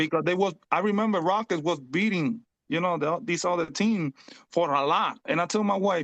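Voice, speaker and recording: A man with a Spanish accent speaks at a moderate pace with a high pitch and ordinary pitch variation. His loudness stays very even against a quiet background. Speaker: fantasy basketball league player. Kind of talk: casual chat. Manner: halting.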